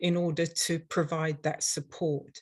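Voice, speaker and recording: Somewhat breathy and fairly low in pitch, a woman with an English accent speaks at a fairly slow pace. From London, England. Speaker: dental hygienist and instructor. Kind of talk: webinar presentation. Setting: online webinar.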